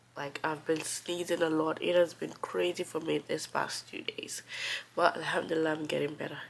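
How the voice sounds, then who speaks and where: Moderate-paced speech from a woman, with noticeable noise in the background. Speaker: immigrant vlogger. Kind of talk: casual talk to camera. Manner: cozy, relaxed.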